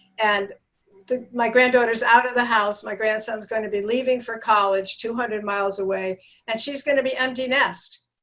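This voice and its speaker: A woman speaks at a moderate pace in a fairly high pitch, her tone bright and sharp. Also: fairly even intonation. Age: 70s. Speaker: network marketing coach, healthy aging advocate. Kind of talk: interview.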